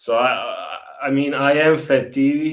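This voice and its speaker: Over noticeable background noise, a man with a Zagreb accent speaks at medium pitch. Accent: Zagreb accent in Croatian. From Croatia, Zagreb. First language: Croatian. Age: 20s. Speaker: tour guide. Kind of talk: casual livestream chat.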